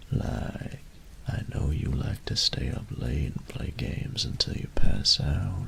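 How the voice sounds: A man whispers in a put-on character voice with vocal fry. His pace is slow.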